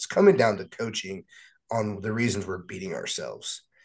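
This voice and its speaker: A plain, everyday voice speaks at a moderate pace with lively intonation over a quiet background. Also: man. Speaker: sports podcast panelist. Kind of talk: casual chat.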